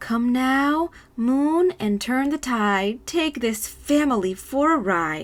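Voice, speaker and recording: In a put-on character voice, a woman speaks at a very slow pace with a high pitch. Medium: read story.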